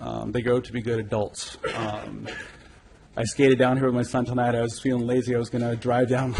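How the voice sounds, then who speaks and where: A man speaks in a Californian accent at medium pitch, somewhat breathy. His intonation is monotone and flat, at a moderate pace. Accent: Californian American. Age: 40s. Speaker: public commenter. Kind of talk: public comment. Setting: city council meeting. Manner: hesitant, many fillers. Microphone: too far from the mic.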